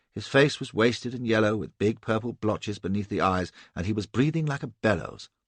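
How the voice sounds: A natural reading voice, its pitch moving in an ordinary range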